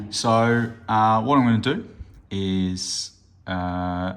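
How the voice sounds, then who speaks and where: A man with an Australian accent. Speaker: hobby gaming youtuber. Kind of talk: unboxing review. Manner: hesitant, many fillers; casual.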